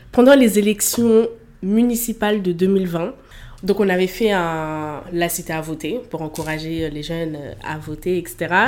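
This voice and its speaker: A woman talks in an unremarkable speaking voice at a fairly low pitch. Her pitch variation is ordinary and her pace fairly slow. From Paris region suburbs. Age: 20s. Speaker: student, association director. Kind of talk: casual interview.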